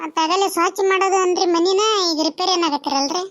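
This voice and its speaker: A cartoonish character voice from a woman, extremely high-pitched and squeaky, at a moderate pace. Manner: polite, deferential.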